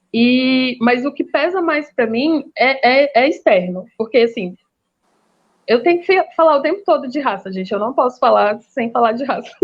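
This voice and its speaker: Speaking at a moderate pace, a woman has a high pitch. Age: 30s. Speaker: master's student, debate guest. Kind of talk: online panel discussion. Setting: live stream video call.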